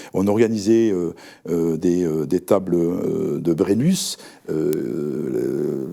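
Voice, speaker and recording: A man's dark, mellow tone with a Toulouse accent. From France, Toulouse. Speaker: rugby federation vice-president. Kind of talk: interview. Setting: studio. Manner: halting, many fillers.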